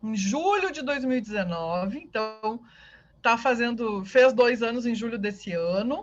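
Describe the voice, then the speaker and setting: Against a quiet background, a woman talks in a southern Brazilian accent. Her pitch is high with ordinary variation, and her pace is fairly slow. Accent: southern Brazilian (gaúcho). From southern Brazil (Rio Grande do Sul). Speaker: university professor. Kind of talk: online lecture.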